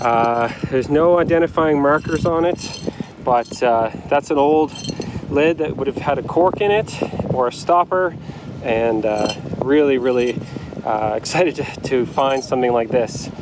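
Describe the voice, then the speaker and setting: A man at a moderate pace with ordinary pitch variation, dry sound with no echo, and noticeable background noise. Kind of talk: casual vlog chat. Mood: excited, relaxed. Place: beach. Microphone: phone near.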